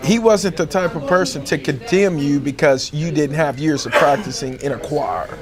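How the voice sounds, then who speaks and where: A man speaks with an American accent in a fairly high voice. His intonation is lively, and there is noticeable background noise. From Texas, Fort Worth. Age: 30s. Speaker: homeless choir singer. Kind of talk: interview testimony.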